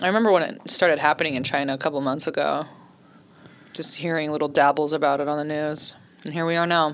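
A very fast woman's voice with a very deep, low pitch, fairly even intonation and an American accent. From Oceanside, San Diego County, California. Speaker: stand-up comedian. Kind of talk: casual chat.

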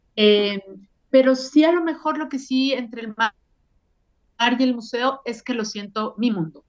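Intonation is lively as a woman speaks at fairly high pitch. Her pace is fairly slow. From Mexico. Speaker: art educator. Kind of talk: interview. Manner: halting, many fillers.

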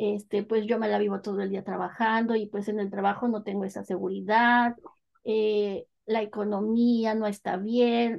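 A woman with a fairly high pitch speaks at a fairly slow pace in a monotone, flat intonation. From Mexico, northern State of Mexico. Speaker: Mexican expat. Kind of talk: casual interview.

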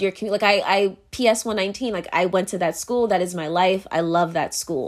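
On a very clean recording with a silent background, a woman with an American accent uses an ordinary speaking voice at a medium pitch, moderate pace and ordinary pitch variation. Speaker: podcaster. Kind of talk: casual solo monologue. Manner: casual, filler-heavy, laughs often.

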